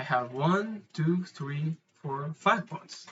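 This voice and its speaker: Lively intonation runs through this man's speech. He talks with a non-native accent. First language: not English. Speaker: amateur chess player explaining puzzles. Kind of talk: tutorial. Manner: halting, with frequent fillers and repeats.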